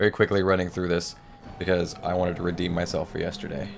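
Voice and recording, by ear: Putting on a raspy character voice, a man talks at a very fast pace in a very deep, low pitch with monotone, flat intonation.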